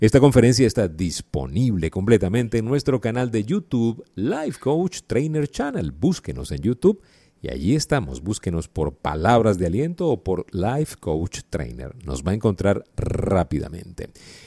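A man speaks at a moderate pace with hardly any pauses, his fairly low voice dark and mellow, swinging very widely in pitch and showing vocal fry. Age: 50s. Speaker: life coach. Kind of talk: motivational talk. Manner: conversational, frequent fillers.

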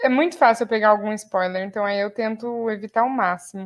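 A woman speaks at a fairly quick pace in an unremarkable speaking voice. It sits fairly high, with ordinary pitch variation. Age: 20s. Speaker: podcast co-host, law student and English teacher. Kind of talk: casual chat.

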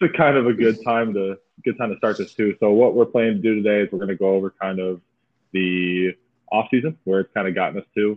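With a Midwestern American accent, a man talks at a very fast pace in a fairly low pitch with ordinary pitch variation. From Michigan, US. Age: 20s. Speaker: podcast host, minor league baseball player. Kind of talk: casual chat. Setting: remote recording.

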